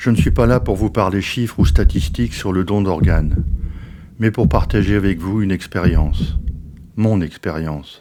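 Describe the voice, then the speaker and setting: A man with a very deep, low pitch speaks at a moderate pace with ordinary pitch variation. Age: 70s. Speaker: organ transplant recipient. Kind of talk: testimony. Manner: measured storytelling.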